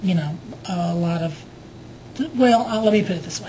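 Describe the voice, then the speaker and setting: Speaking in a Southern US accent, a woman talks at a moderate pace with ordinary pitch variation. Noticeable background noise and audible room echo surround her voice. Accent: Southern US (Georgia). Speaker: video blogger. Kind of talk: casual vlog storytelling. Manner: hesitant, many fillers.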